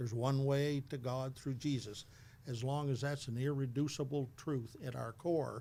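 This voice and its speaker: A man's medium-pitched voice, dark and mellow in tone, at a moderate pace with fairly even intonation. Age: 70s. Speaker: retired church leader and minister. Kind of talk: interview conversation.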